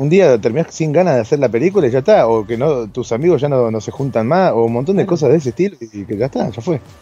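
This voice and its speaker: A man talking at a very fast pace with lively intonation, hardly any pauses, and music in the background. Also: medium pitch for a man. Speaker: podcast co-host, filmmaker and improv actor. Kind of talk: casual chat. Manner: halting.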